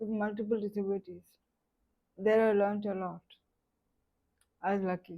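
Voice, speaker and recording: A woman's dark, mellow voice sits at a medium pitch with fairly even intonation. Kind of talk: personal life story talk. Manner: slow.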